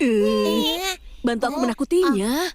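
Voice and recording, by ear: A cartoonish character voice with fairly high pitch moves at a fairly slow pace.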